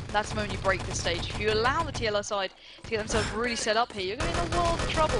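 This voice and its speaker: In a room with audible echo and noticeable background noise, a woman speaks very fast in a fairly high voice with lively intonation. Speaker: esports shoutcaster. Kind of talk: live game commentary. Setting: live stream. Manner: animated.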